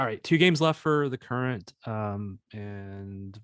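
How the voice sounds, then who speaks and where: In a Missouri accent, a man speaks with ordinary pitch variation. The sound is dry and close with no echo, on a very clean recording with a silent background. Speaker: soccer podcast host. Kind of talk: casual podcast chat.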